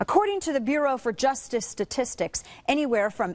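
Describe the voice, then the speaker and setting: Lively intonation marks a woman's moderately paced speech. The recording is very clean and the background silent. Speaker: conservative radio host. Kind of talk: radio talk show monologue. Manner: fiery, impassioned.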